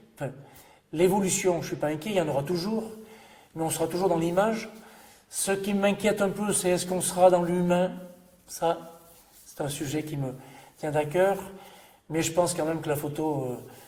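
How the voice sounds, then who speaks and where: A high-pitched man speaks with long, frequent pauses and big swings in loudness, with audible room echo and noticeable background noise. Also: fairly even intonation, moderate pace. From Ardèche, France. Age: 60s. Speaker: photographer. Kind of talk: reminiscing interview monologue. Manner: hesitant.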